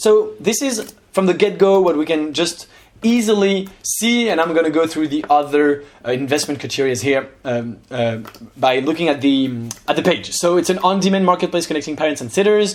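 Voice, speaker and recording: Lively intonation at a moderate pace, in a French accent. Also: man, fairly high pitch for a man. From France. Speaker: investment youtuber. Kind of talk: casual analysis commentary. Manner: hesitant, many fillers.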